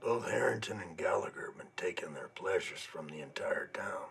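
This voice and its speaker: In a raspy put-on character voice, a man speaks at a fairly quick pace. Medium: short film. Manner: plainspoken.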